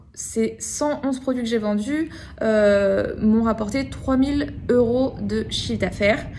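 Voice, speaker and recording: A woman with a fairly high voice speaks at a very slow pace, with ordinary pitch variation. Audible room echo fills the recording. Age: 30s. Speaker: online course student. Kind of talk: testimony. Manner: hesitant, many fillers.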